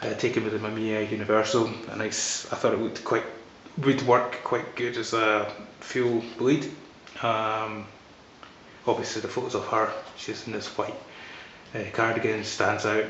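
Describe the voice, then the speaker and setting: With noticeable background noise, a man with a Scottish accent speaks in a monotone, flat intonation, leaving long, frequent pauses. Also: medium pitch for a man, moderate pace. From Scotland. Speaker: photographer. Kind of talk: casual talk to camera. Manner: hesitant, rambling.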